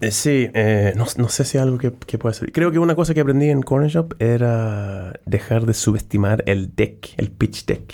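A man with a Swedish accent talks at a fairly slow pace with hardly any pauses and very even loudness. His medium-pitched voice has a dark, mellow tone. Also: ordinary pitch variation. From southern Sweden. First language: Swedish (speaking Spanish). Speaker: startup founder and CEO. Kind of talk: interview. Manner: halting.

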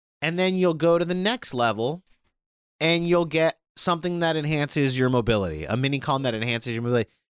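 On a very clean recording with a silent background, a fairly high-pitched man speaks very fast in an animated tone with lively intonation. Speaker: video game podcast host. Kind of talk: casual chat.

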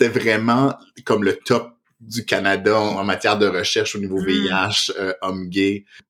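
In a fairly low pitch, a man speaks fairly slowly with fairly even intonation. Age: 30s. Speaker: psychotherapist and podcast host. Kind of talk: casual chat. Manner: halting.

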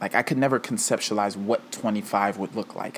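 At a moderate pace and with ordinary pitch variation, a man speaks in an ordinary speaking voice. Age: 20s. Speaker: podcast host. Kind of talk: solo monologue.

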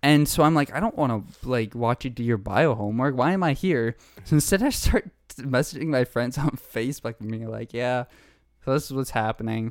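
This man has an unremarkable speaking voice and a medium pitch, moving at a fairly quick pace. The recording is very clean with a silent background. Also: ordinary pitch variation. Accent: Canadian. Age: 20s. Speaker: podcast co-host. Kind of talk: casual chat.

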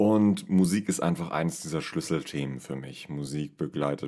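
The speaker is a man with a very deep, low pitch. His tone is dark and mellow. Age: 30s. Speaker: podcast host and amateur singer. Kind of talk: casual solo monologue.

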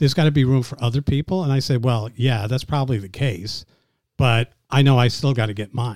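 In an American accent, a man speaks at a fairly quick pace with medium pitch, ordinary pitch variation and a normal speaking voice. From New York City. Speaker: business commentator. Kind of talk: casual interview.

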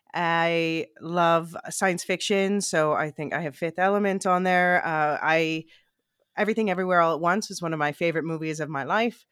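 Recorded very cleanly against a silent background, a woman with an American accent uses an ordinary speaking voice at a fairly low pitch, a moderate pace and fairly even intonation. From US, Philadelphia. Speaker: podcast co-host. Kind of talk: casual chat.

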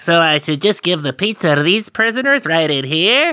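A put-on character voice at a middle pitch and moderate pace. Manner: playing innocent.

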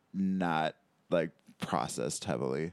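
A man with an American accent, a very deep, low pitch and vocal fry, on a very clean recording with a silent background. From Michigan, Detroit suburbs. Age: 30s. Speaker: comedian. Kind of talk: casual chat.

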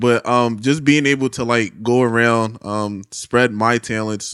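With a Philadelphia accent, a man talks in fairly even intonation, the sound dry and close with no echo. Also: very clean recording, silent background. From Philadelphia, West Philly. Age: 20s. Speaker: drummer. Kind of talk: casual chat.

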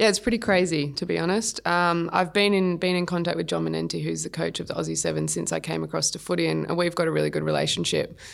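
On a very clean recording with a silent background, a woman with an Australian accent speaks at a very fast pace with hardly any pauses. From Sydney, Australia. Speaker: professional athlete. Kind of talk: interview.

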